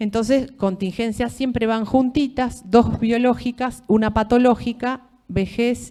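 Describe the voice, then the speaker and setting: A woman with a Rioplatense accent, a fairly high pitch, a dark, mellow tone and hardly any pauses. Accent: Argentine Rioplatense Spanish. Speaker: law lecturer. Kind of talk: lecture. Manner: conversational, with many fillers.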